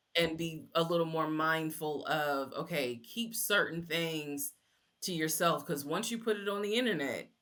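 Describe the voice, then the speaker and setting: With an American accent, a woman has a plain, everyday voice and a fairly low pitch. She talks at a moderate pace with ordinary pitch variation. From New Jersey, US. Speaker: social media storyteller. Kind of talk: interview.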